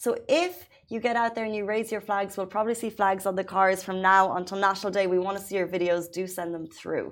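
An animated woman at a fairly quick pace, medium in pitch, with hardly any pauses. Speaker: morning show co-host. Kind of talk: casual chat and news roundup. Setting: studio.

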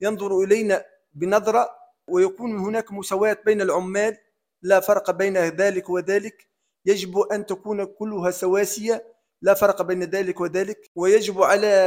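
In a monotone, flat intonation, a man speaks at a fairly slow pace with a high pitch. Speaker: public sector worker. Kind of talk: opinion monologue. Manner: formal.

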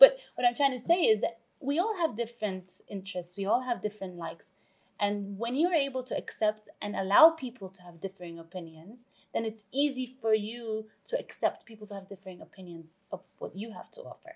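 With an unremarkable speaking voice, a woman talks at a fairly quick pace in a fairly high pitch with lively intonation. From Canada, Vancouver. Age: 40s. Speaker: TV chef and cookbook author. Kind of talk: casual interview chat.

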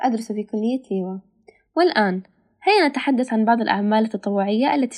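A woman's fairly high-pitched voice with ordinary pitch variation, an ordinary speaking voice. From Palestine. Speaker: student volunteer. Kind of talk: prepared talk in Standard Arabic. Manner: formal.

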